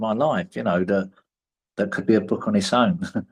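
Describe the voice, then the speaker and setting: Speech comes from a man at a very fast clip. Very wide swings run through his pitch. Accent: London. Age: 50s. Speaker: prison performer and writer. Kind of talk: interview. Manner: hesitant, repeats words.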